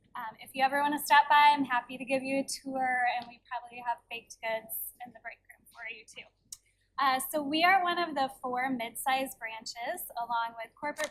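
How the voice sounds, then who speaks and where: A soft-spoken woman at a high pitch, moderate in pace, with fairly even intonation and big swings in loudness. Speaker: library branch manager. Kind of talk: board meeting presentation. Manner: reading from notes.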